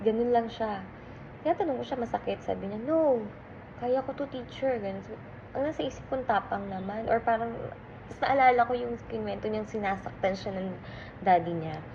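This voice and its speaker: Over noticeable background noise, a woman talks at a fairly quick pace. Her pitch is fairly high and her intonation lively. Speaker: teacher. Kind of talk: casual vlog storytelling.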